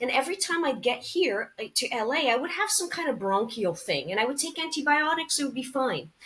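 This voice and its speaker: Speaking with a slight Canadian accent, a woman moves at a fairly quick pace. Her pitch swings very widely over noticeable background noise. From Canada. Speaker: actress and cancer survivor. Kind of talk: interview podcast.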